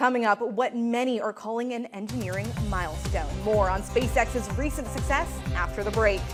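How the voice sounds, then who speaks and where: Music runs in the background. A woman talks over it at a moderate pace. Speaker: TV news reporter and anchor. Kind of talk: TV news reporting and anchoring.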